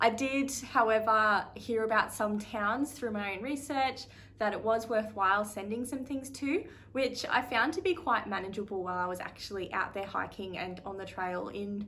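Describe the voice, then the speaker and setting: Speaking in an Australian accent, a woman has a bright, sharp tone. Her fairly high pitch varies in an ordinary way. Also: moderate pace. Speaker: thru-hiker vlogger. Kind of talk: casual vlog talk to camera. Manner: casual with frequent fillers.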